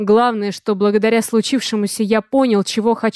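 Someone reads the text out loud in a natural voice.

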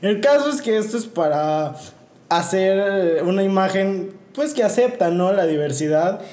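Amid audible room echo, a man with a high pitch and a dark, mellow tone talks at a fairly slow pace with lively intonation. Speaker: podcast co-host. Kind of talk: casual chat.

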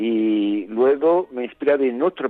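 A man talks in a medium pitch with ordinary pitch variation. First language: Italian (speaking Spanish). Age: 60s. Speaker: novelist. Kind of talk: interview.

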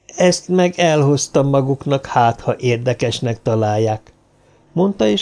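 Lively intonation colors this unforced reading voice.

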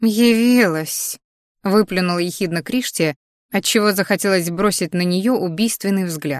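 Plain reading aloud with ordinary pitch variation and a quiet background

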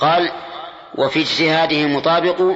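A man speaks at a fairly high pitch with a fairly bright tone. His intonation stays fairly even, and the room echo is audible. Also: moderate pace.

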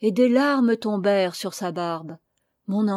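In an unforced reading voice with ordinary pitch variation, the speaker reads over a quiet background.

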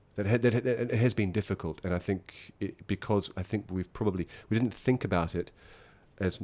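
Here a man speaks with a New Zealand accent and ordinary pitch variation. The recording is very clean, with a silent background. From New Zealand, small town in the Wairarapa. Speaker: theatre teacher and mask trainer. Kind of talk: interview. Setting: home studio in an apartment.

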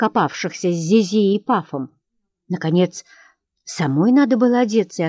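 With a quiet backdrop, someone reads aloud naturally, the intonation lively throughout.

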